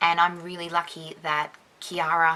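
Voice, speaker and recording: Soft-spoken and very slow, a woman with an Australian accent talks at a fairly low pitch. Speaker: dance judge and YouTuber. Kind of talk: casual chat to camera. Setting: dim room with one light, another person present.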